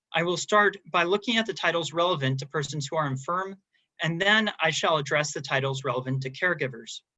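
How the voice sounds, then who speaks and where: Speaking at a fairly quick pace with an American accent, a man uses a fairly high pitch with ordinary variation. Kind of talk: academic paper reading. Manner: formal.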